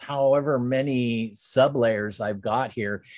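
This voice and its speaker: At a very slow pace, a man with an American accent speaks with ordinary pitch variation, the sound dry with no echo and the background quiet. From Pennsylvania and Ohio, US. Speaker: design instructor. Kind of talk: tutorial. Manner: casual, with fillers and laughs. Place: home room.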